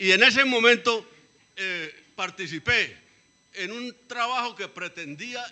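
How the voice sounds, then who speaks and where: A man projects his voice loudly at a high pitch. He speaks very slowly. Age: 70s. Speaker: former cadastral surveyor, community participant. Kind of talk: public meeting debate. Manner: halting.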